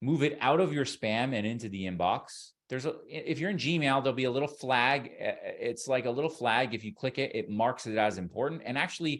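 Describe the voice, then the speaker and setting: Lively intonation from a man at medium pitch, with a Canadian accent. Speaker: online course instructor. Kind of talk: webinar lecture. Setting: online webinar. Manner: fast; loud, excitable.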